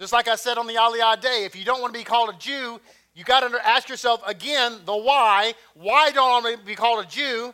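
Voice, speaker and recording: A man speaks at an extremely high pitch and a very fast pace in a raised, projected voice. His tone is animated, bright and sharp, with big swings in loudness. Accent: Texan. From Texas. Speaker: messianic congregation teacher. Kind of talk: sermon. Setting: congregation.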